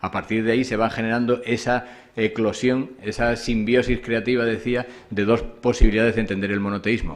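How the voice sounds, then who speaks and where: A man's medium-pitched voice, monotone and flat, at a fairly quick pace. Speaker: conference speaker, scholar of Islam. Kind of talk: academic lecture. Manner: fast; hesitant fillers.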